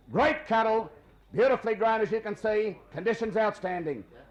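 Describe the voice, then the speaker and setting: A man's high-pitched voice with an Australian accent, ordinary pitch variation and a fairly quick pace. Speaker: livestock auctioneer. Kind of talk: cattle auction calling. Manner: fast, polished.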